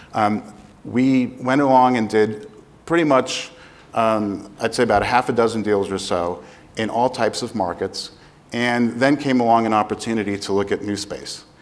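Moderately paced speech from a man, its intonation fairly even. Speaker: panelist. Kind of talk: panel talk, self-introduction. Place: stage. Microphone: lapel.

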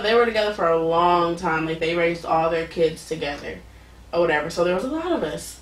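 A woman speaks at a very fast pace and a fairly low pitch, with ordinary pitch variation. Room echo is audible. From Oakland, California; California. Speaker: podcast guest. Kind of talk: casual interview. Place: home room.

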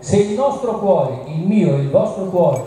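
Over light background noise and in strong room echo, a man speaks with lively intonation. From Tuscany, Italy (Arezzo). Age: 60s. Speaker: nutritionist doctor. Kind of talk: public talk. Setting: outdoor event with audience. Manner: emphatic. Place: stage.

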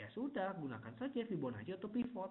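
This man talks at a very fast pace with lively intonation. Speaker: forex technical analyst presenting webinar; presenter. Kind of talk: webinar tutorial. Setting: online webinar. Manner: casual, many fillers. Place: home room. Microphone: unstable internet connection; webcam.

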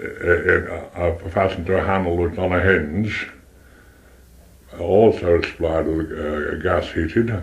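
In a Potteries accent, a man speaks at a fairly slow pace with a very deep, low pitch. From Stoke-on-Trent, England; England. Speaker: retired pottery manufacturer. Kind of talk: oral history interview. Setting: front room at home. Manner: halting, repetitive. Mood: relaxed reminiscing. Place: home room. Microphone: cassette recorder, poor audio; old recording.

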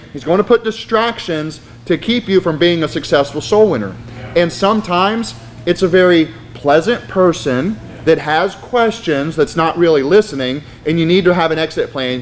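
A man with a high pitch and lively intonation talks at a moderate pace over light background noise. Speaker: soul winning instructor, Baptist. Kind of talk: sermon-style class teaching to a live audience. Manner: earnest, persuasive, preaching tone. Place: church.

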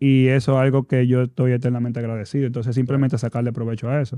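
A man with a dark, mellow tone speaks in a monotone, flat intonation against a quiet background, with a dry sound with no echo. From Dominican Republic. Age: 30s. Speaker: basketball player and players' association president; guest. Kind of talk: casual interview. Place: studio. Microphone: studio mic.

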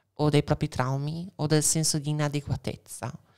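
Delivery runs at a moderate pace against a quiet background. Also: woman. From Veneto, Italy. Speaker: transgender activist; podcast guest. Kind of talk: casual chat. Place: studio. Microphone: studio mic.

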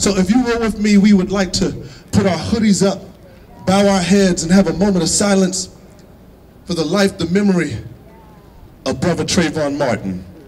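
Talking at a moderate pace with a high pitch, a man uses ordinary pitch variation and long, frequent pauses. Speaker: rally speaker leading a moment of silence. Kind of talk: solemn rally address with a preacherly cadence. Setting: outdoor rally with crowd. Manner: measured, grave, repetitive phrasing building emphasis. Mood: somber, earnest. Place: street.

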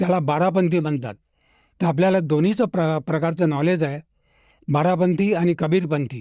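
This man has a high voice with a dark, mellow tone, ordinary pitch variation and very even loudness. The recording is very clean, with a silent background. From Nagpur, Maharashtra. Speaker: retired mathematics professor. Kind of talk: testimony interview.

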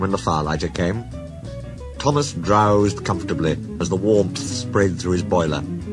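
This is a natural reading voice. Its pitch moves in an ordinary way.

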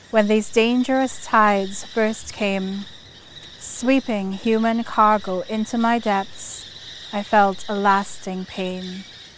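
A woman talks at a very slow pace in a flat, monotone delivery. Noticeable background noise runs behind her. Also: fairly high pitch for a woman. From Trinidad. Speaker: poet, writer. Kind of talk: poetry reading. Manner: rousing.

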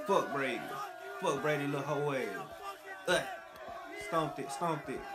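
With music playing behind him, a man talks. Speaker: video commentator. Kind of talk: casual reaction commentary. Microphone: earbuds.

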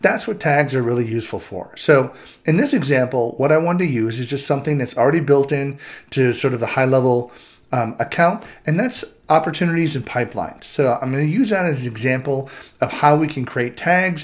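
A man at a fairly quick pace, ordinary pitch variation, quiet background. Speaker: presenter. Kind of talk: tutorial. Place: home room.

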